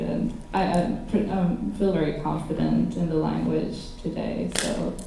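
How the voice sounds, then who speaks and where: With a non-native accent, a woman talks at a fairly slow pace amid noticeable background noise and audible room echo. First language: not English. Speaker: student panelist on co-op experience. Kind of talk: panel discussion.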